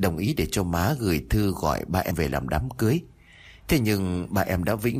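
An unforced reading voice carries the whole recording.

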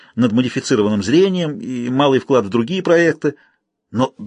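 Lively intonation in a natural reading voice, over a quiet background.

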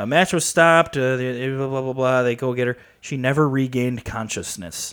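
Here is a man with a normal speaking voice and an American accent. He talks at a fairly quick pace with ordinary pitch variation. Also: medium pitch for a man. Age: 20s. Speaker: wrestling podcast co-host. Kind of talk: casual chat.

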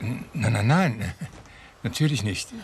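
Putting on a character voice, a man speaks slowly at a fairly low pitch, with a husky, rough edge and lively intonation.

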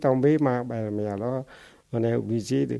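A man speaks with a Cambodian accent. His tone is dark and mellow. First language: Khmer (speaking French). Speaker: refugee and former literature teacher. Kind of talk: life-story testimony interview. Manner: halting, with many repetitions.

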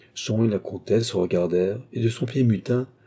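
The voice reads aloud naturally, its pitch varying in an ordinary way.

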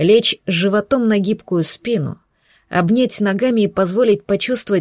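Quiet background behind plain reading aloud, with ordinary pitch variation

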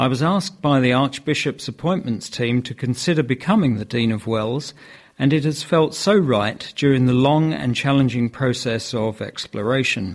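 This man uses an ordinary speaking voice, keeping a moderate pace and ordinary pitch variation. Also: medium pitch for a man, very clean recording, silent background. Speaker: news reader. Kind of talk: news reading.

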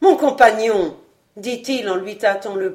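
Quiet background, ordinary pitch variation, plain reading aloud

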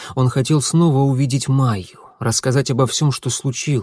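In a natural reading voice, the words go by with fairly even intonation.

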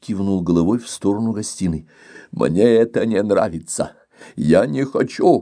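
Ordinary pitch variation in a plain read-aloud delivery.

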